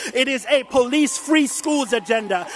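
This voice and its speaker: Noticeable background noise sits behind a man with an extremely high pitch. He talks at a moderate pace with ordinary pitch variation. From Jamaica. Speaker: education activist. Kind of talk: speech.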